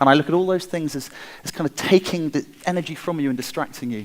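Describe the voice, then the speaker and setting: A man speaks at a very fast pace. His intonation is lively. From England, Wiltshire. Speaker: designer and inventor. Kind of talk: conference talk. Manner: halting, with repeated words and fillers.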